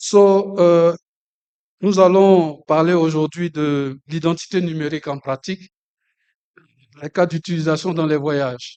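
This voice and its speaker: A man with a French accent, high pitch and dark, mellow tone, at a moderate pace with fairly even intonation and long, frequent pauses, in a dry, close sound with no echo. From Côte d'Ivoire. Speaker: session moderator. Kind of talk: conference opening remarks. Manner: formal.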